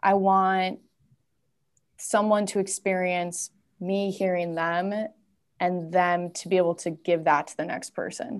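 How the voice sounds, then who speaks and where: In a medium-pitched voice with an American accent, a woman talks at a fairly slow pace with monotone, flat intonation and long, frequent pauses. Her loudness swings widely against a quiet background. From US Midwest, Twin Cities (Minnesota). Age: 20s. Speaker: women's community founder. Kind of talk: casual interview chat. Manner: halting, many fillers.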